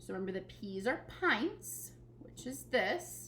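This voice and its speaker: Amid audible room echo, a woman talks at a very slow pace. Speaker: elementary school teacher. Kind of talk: recorded tutorial lesson.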